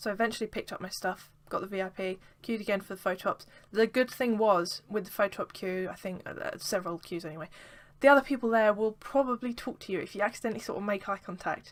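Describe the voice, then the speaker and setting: A woman with an English accent at a very fast pace, big swings in loudness and ordinary pitch variation, on a very clean recording with a silent background. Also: medium pitch for a woman. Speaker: vlogger. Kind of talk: casual vlog. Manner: animated.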